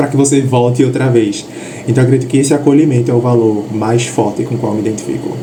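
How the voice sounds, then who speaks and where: Audible room echo and noticeable background noise surround a man's voice. He talks very fast at a medium pitch with monotone, flat intonation. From Brazil, Northeast. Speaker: interview guest. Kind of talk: interview answers.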